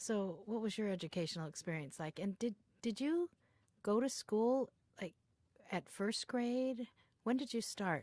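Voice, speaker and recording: Speaking at a fairly slow pace with long, frequent pauses, a woman with an American accent uses lively intonation in a fairly high pitch, on a very clean recording with a silent background and a dry, close sound with no echo. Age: 50s. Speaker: educator, interviewer. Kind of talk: oral history interview.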